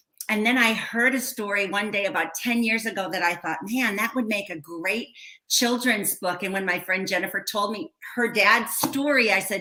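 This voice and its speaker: With an American accent, a woman talks at a moderate pace and medium pitch, her pitch varying in an ordinary way over noticeable background noise. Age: 60s. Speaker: educator and children's author. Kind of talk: casual interview.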